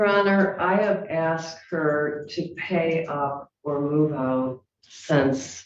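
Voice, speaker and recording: A woman speaks with a fairly low pitch. Her pace is very slow. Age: 70s. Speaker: landlord, plaintiff. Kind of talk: court hearing testimony. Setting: courtroom.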